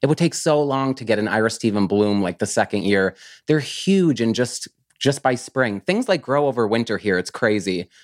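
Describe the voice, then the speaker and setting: An unremarkable speaking voice, a man with an American accent talks at a moderate pace and medium pitch with lively intonation, in a very clean, dry, close recording with no echo and a silent background. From US countryside. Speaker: plant grower and business owner. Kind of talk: casual interview.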